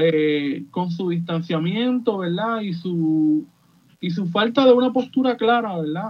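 A high-pitched man at a very slow pace, with lively intonation. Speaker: podcaster, political commentator. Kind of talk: radio panel discussion.

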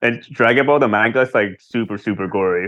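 A man with an American accent, fairly low pitch, fairly bright tone, ordinary pitch variation and a fairly quick pace

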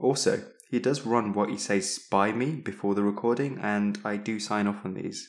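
A fairly low-pitched man's voice with a British accent, fairly even intonation and a moderate pace, on a very clean recording with a silent background. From East of England. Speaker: clinical teaching fellow, co-host. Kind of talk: educational podcast with jokey banter.

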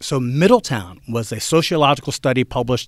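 In a normal speaking voice, a man with a medium pitch talks at a moderate pace with lively intonation, the very clean recording leaving a silent background. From central New Jersey. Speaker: college history instructor. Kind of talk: casual interview. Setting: studio.

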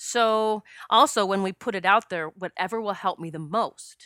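A woman's bright, sharp tone at a medium pitch, with ordinary pitch variation, in a very clean recording with a silent background and a dry, close sound with no echo. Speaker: spiritual medium and past life regression practitioner. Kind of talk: solo podcast monologue. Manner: emotional, pausing.

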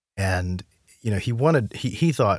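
Over a silent background in a very clean recording, a man talks at a fairly quick pace, somewhat breathy, his pitch swinging very widely. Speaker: podcast host and music researcher. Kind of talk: casual interview.

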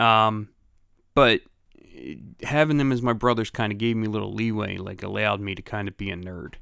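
A man with a Philadelphia accent, fairly low-pitched, with ordinary pitch variation, big swings in loudness, and long, frequent pauses, on a very clean recording with a silent background. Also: fairly quick pace. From Philadelphia, Grays Ferry. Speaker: podcast co-host. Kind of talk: casual chat.

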